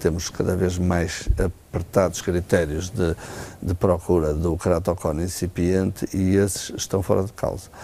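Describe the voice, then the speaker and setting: With noticeable background noise behind him, a man speaks in a very deep, low voice with monotone, flat intonation. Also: fairly slow pace. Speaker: ophthalmologist. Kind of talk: TV health interview. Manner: hesitant, many fillers.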